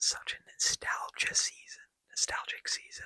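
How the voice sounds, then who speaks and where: A man whispering at a moderate pace. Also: dry, close sound with no echo. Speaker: ASMR gaming content creator. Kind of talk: ASMR gameplay commentary. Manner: soft-spoken, relaxed.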